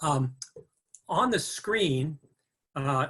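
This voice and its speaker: His tone comes across bright and sharp. The man's voice sits fairly high. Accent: Upper Midwest. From Minnesota, Minneapolis area. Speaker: guest speaker. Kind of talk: webinar lecture. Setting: video call. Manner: halting, many fillers.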